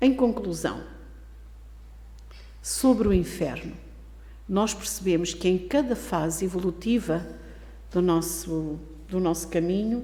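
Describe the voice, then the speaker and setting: Amid audible room echo, a woman speaks fairly slowly, pausing long and often. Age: 70s. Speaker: spiritist lecturer. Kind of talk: lecture.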